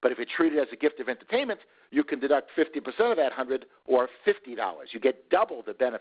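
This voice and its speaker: His pitch is fairly high for a man. He talks at a very fast pace. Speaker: tax expert presenter. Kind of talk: webinar presentation. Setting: online webinar.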